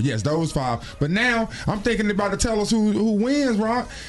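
An animated male voice over noticeable background noise. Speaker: radio host. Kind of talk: morning radio show banter. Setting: radio studio. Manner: animated, joking.

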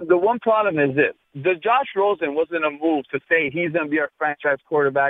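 A man's fairly high-pitched voice, a normal speaking voice, at a moderate pace with ordinary pitch variation. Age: 30s. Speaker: sports radio caller. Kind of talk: call-in talk radio.

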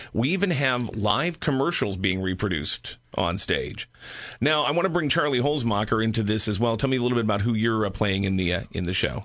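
Against a quiet background, a man speaks at a medium pitch in an unremarkable speaking voice, with lively intonation and very even loudness. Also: fairly quick pace. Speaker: radio host. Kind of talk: radio interview, conversational. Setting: studio. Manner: polished, fluent.

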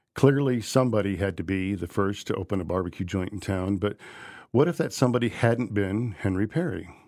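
This man has an ordinary speaking voice, fairly low in pitch with lively intonation and a fairly quick pace. The recording is very clean, with a silent background. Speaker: barbecue historian. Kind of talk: casual chat.

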